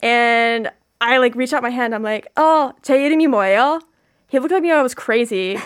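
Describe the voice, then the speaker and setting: With an American accent, a woman talks fairly quickly at a high pitch with ordinary pitch variation, on a very clean recording with a silent background. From US, Virginia. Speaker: student and video creator intern. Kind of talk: radio interview, bilingual casual chat. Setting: radio studio.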